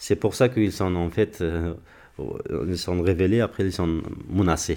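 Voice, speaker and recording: A man's very deep, low voice with a dark, mellow tone, fairly even intonation and a moderate pace. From Afghanistan, Parwan. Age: 20s. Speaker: former military interpreter, association head. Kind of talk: interview testimony.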